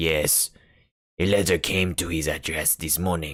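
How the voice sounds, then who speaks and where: A man puts on a character voice that is raspy and very deep, with fairly even intonation. He speaks at a moderate pace on a very clean recording with a silent background. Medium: read story. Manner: blunt, matter-of-fact.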